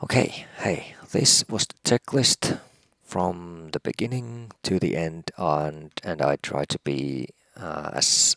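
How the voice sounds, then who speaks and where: A man with a Finnish accent speaks in a very deep, low pitch at a very slow pace. His intonation is lively, and the sound is dry and close with no echo. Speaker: helicopter pilot. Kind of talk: tutorial; casual chat. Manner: halting, many pauses.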